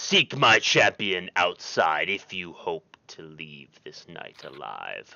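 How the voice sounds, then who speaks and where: A man performs a booming put-on character voice at a very slow pace. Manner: commanding.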